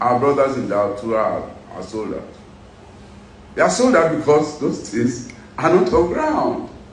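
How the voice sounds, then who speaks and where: A man talks at a moderate pace over noticeable background noise, with audible echo from the room. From Nigeria, Edo State (Benin). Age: 60s. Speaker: businessman and former pilot, political figure. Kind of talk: interview. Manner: animated.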